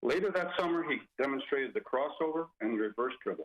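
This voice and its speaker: Here a man is talking. His pace is fairly quick. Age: 60s. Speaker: former assistant basketball coach giving a eulogy. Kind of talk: eulogy speech.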